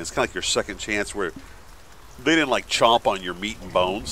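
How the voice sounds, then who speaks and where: A man is talking, and there is noticeable noise in the background. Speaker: gaming youtuber. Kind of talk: gameplay commentary. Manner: animated; fast.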